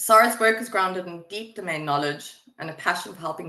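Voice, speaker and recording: A woman with a South African accent speaks with ordinary pitch variation. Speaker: webinar moderator, project manager. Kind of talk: webinar presentation. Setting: online webinar.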